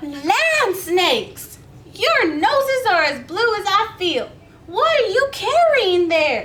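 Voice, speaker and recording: A woman does a put-on character voice at an extremely high pitch, with very wide pitch swings. She speaks very slowly over light background noise. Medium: read story.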